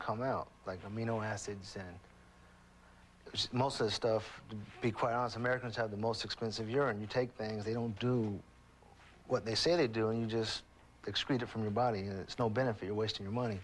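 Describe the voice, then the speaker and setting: A man at a very fast pace and medium pitch. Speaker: police officer, stroke survivor. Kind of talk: testimony.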